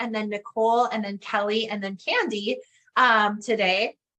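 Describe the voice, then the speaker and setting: A woman with a northern Canadian accent talks in a fairly high pitch with a bright, sharp tone. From northern Canada. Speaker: business coach. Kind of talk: interview.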